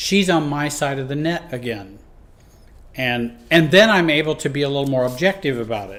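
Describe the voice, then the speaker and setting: Fairly high-pitched and at a moderate pace, a man talks in an unremarkable speaking voice, with lively intonation and big swings in loudness. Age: 60s. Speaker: life and relationship coach. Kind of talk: teaching talk. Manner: conversational, with fillers and restarts.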